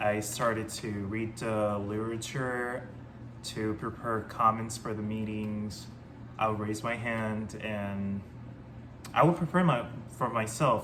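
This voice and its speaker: Someone with a Spanish accent speaks at a fairly slow pace in a room with audible echo. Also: man. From Panama. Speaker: ex-Jehovah's Witness vlogger. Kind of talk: personal testimony. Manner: hesitant, many fillers.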